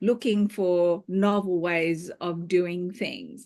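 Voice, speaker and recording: Female speaker over a quiet background. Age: 60s. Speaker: fitness class instructor. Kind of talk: group discussion. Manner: halting.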